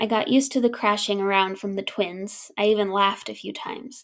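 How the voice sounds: A natural reading voice in fairly even intonation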